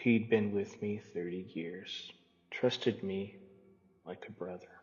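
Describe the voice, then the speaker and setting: Doing a put-on character voice, a man drawls at a fairly slow pace and fairly low pitch. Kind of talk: campfire-style cosmic horror narration. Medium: read story. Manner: slow-burning, drawling.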